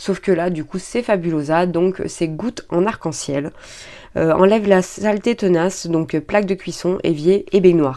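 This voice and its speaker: A woman's dark, mellow voice sits fairly low in pitch and moves at a fairly slow pace. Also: ordinary pitch variation. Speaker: beauty and shopping vlogger. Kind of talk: product haul review; reading aloud. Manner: hesitant, many fillers.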